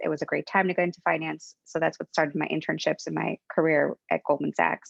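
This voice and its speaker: A woman talks at a very fast pace with a Spanish accent. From Mexico, raised in the US. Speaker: venture capital investor. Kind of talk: interview.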